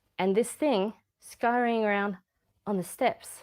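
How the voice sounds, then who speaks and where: Speaking fairly slowly with an Australian accent, a woman uses a medium-pitched voice. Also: very clean recording, silent background. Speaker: YouTuber. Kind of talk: livestream chat. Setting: at home, dining room. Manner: casual, rambling.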